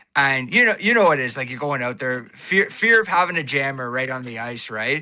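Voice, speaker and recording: On a very clean recording with a silent background, a man speaks at a medium pitch with a bright, sharp tone. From Ontario, Canada. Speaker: podcaster and social media personality. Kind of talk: casual chat. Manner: animated.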